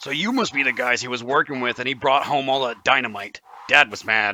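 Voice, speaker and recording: A man at medium pitch in a raspy, put-on character voice, at a fairly quick pace. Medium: actual play. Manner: earnest, simple-minded.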